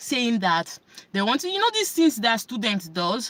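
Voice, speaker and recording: A woman's pitch swings very widely as noticeable background noise carries on behind her. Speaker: self-help vlogger. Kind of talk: casual talk to camera.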